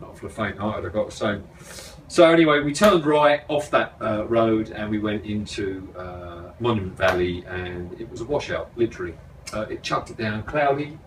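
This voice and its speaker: A man's fairly low voice at a moderate pace, lively in intonation with big swings in loudness, over noticeable background noise. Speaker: motorcycle travel vlogger. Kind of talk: casual chat.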